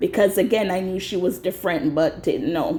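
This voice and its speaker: This is a woman's voice. The tone is dark and mellow. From Jamaica. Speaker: vlogger. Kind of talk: casual monologue, personal storytelling. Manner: conversational, filler-heavy.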